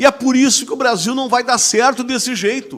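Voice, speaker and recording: An animated-toned man at a moderate pace on a very clean recording with a silent background. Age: 60s. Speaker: TV host. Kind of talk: talk show discussion.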